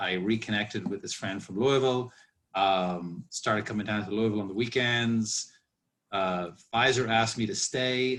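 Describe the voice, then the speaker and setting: A man speaks in an Irish accent with fairly low pitch. His pace is moderate and his pitch varies in an ordinary way. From Ireland. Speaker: master distiller. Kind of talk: casual chat. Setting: video call.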